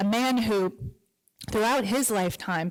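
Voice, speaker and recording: A woman with a plain, everyday voice, ordinary pitch variation and a moderate pace, on a very clean recording with a silent background. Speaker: grandchild giving a tribute. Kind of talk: tribute speech read aloud.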